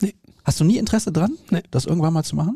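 A man speaks at a fairly quick pace with lively intonation against a quiet background. His voice is dark, mellow and somewhat breathy. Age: 30s. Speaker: podcast host. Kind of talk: casual chat.

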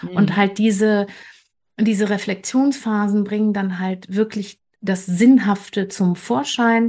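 A woman with a medium-pitched, dark, mellow voice that is somewhat breathy speaks at a very slow pace. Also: fairly even intonation. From western Germany, Bergisches Land. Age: 50s. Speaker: creative coach. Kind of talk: interview.

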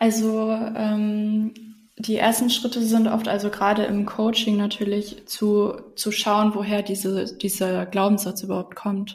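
A woman speaks fairly slowly at a fairly high pitch, flat and monotone. Her tone is dark and mellow, and somewhat breathy. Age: 20s. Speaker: self-love coach. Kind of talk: casual interview.

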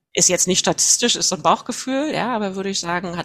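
Talking at a very fast pace, a woman uses lively intonation at a fairly low pitch. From northern Germany, Mecklenburg Baltic coast near Wismar. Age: 40s. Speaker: HR manager. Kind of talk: interview.

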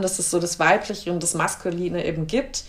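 This woman has an unremarkable speaking voice at a medium pitch. She talks at a fairly quick pace with fairly even intonation. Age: 30s. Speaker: podcast host and actress. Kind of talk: casual interview. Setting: her living room.

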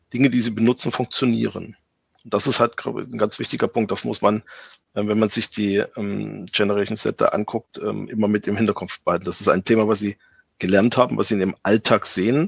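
Vocal fry runs through this fairly quick delivery, which has fairly even intonation and a dry, close sound with no echo. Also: man, fairly low pitch for a man. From eastern Germany. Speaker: tech sales executive. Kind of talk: interview. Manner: halting, many fillers.

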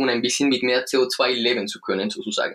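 This is a man speaking. He has a Spanish accent. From Colombia. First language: Spanish (speaking German). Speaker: breathing coach and movement trainer. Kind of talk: interview; guided breathing exercise. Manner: halting, searching for words.

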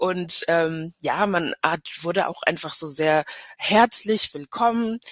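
A woman speaks in an ordinary speaking voice, fairly low in pitch, at a fairly slow pace with ordinary pitch variation. The sound is dry and close, with no echo. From Hesse and Paris, German-French upbringing. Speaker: tourism destination marketing manager. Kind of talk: casual interview.

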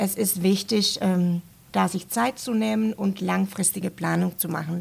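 A woman with a Finnish accent speaks at a fairly slow pace. Her voice is somewhat breathy, with ordinary pitch variation. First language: Finnish (speaking German). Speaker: university language centre staff. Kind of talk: casual interview. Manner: hesitant with fillers.

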